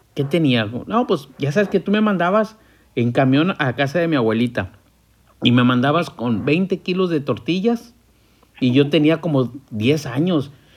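A man with an ordinary speaking voice talks at a fairly slow pace, his fairly high pitch rising and falling in lively intonation. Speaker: podcast host. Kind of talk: casual chat.

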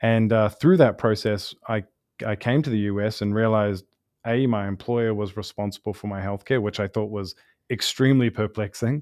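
In a New Zealand accent, a man with a fairly low pitch speaks at a moderate pace and with fairly even intonation, the sound dry and close with no echo against a quiet background. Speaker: startup founder and CEO, pharmacist by training. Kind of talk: interview. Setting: studio.

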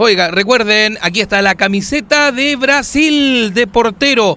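This man's raised, projected voice sits at a high pitch, with a bright, sharp tone and ordinary pitch variation. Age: 40s. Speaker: radio host. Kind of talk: casual chat. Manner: animated.

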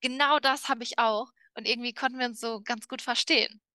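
The voice has a bright, sharp tone and fairly even intonation at a moderate pace. The sound is dry and close with no echo, against a quiet background. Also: woman. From Germany. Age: 30s. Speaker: podcast co-host. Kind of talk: casual chat.

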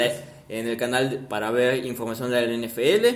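A man keeps a moderate pace, with audible room echo and noticeable background noise around him. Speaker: podcast co-host. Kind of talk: casual chat.

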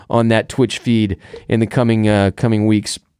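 The recording is very clean with a silent background. A man is speaking. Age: 30s. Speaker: podcast host. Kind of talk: casual chat. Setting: studio. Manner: animated.

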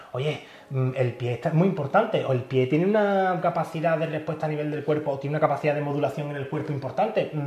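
In a room with audible echo, a man talks at a fairly quick pace, his fairly high pitch showing ordinary variation. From Andalusia, Spain (Pilas, Seville). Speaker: podiatrist. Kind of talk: casual interview. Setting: his clinic.

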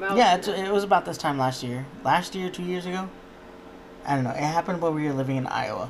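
Someone talks at a fairly quick pace with noticeable background noise behind them. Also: man, high pitch for a man, ordinary pitch variation. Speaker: podcast co-host.

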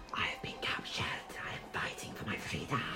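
Over loud background music, a put-on character voice talks at a fairly quick pace. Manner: sinister, sibilant.

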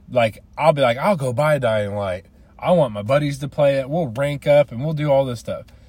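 This man's voice sits at a fairly high pitch and comes out somewhat breathy. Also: ordinary pitch variation, moderate pace. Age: 30s. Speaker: gaming podcaster. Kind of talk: casual solo monologue. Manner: halting, many fillers and restarts.

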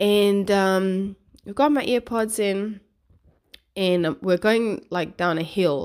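A very clean recording with a silent background, a very slow pace and very even loudness. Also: woman, medium pitch for a woman, ordinary pitch variation. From South Africa. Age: 40s. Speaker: podcast host and blogger. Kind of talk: casual chat, solo monologue. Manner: casual, chatty, swears freely.

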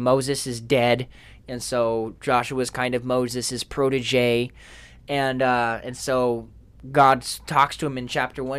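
On a very clean recording with a silent background, a man speaks at a fairly slow pace with an ordinary speaking voice at medium pitch. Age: 20s. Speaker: podcast co-host. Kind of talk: casual chat.

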